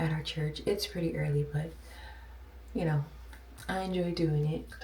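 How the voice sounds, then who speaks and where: Moderate delivery from a woman amid noticeable background noise. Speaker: lifestyle vlogger. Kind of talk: casual vlog talk. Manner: hesitant, many ums.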